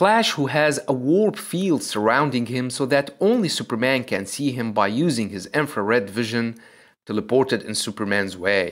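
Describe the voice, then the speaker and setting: A man with a medium-pitched voice speaks at a moderate pace with lively intonation, captured in a very clean recording against a silent background. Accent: non-native. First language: not English. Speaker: comic book video narrator. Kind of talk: scripted narration.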